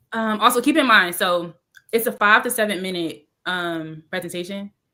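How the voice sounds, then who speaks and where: A woman's bright, sharp tone at a medium pitch, with ordinary pitch variation. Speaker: aspiring speaker. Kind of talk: casual chat. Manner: fast.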